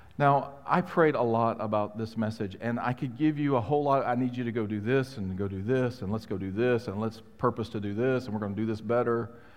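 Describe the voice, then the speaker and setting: With hardly any pauses, a man talks at a fairly quick pace in a medium voice with ordinary pitch variation. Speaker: pastor. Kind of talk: sermon. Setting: church. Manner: animated, joking.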